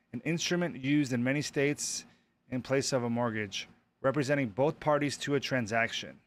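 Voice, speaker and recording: Here a man talks at a fairly quick pace with ordinary pitch variation. The recording is very clean with a silent background. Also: medium pitch for a man. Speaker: real estate exam prep YouTuber. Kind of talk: live stream, reading and working through practice questions. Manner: fast; thinking aloud, hesitant.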